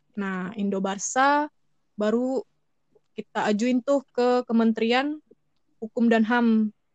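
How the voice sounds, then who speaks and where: A woman with a Sumatran accent speaks very slowly at a fairly high pitch with fairly even intonation and long, frequent pauses, the sound dry and close with no echo. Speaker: fan club treasurer. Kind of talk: casual interview.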